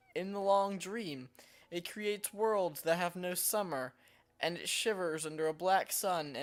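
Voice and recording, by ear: The voice reads aloud naturally, and its pitch varies in an ordinary way.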